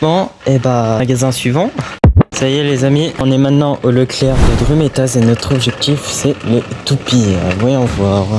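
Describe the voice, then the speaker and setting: Over music in the background, a man speaks at a fairly slow pace with medium pitch, ordinary pitch variation and very even loudness. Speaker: toy hunting YouTuber. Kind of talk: vlog. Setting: in shops. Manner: soft-spoken.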